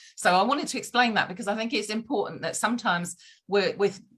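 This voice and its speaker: A woman talks loudly at a fairly quick pace. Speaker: podcast guest. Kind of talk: casual conversation. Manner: fast.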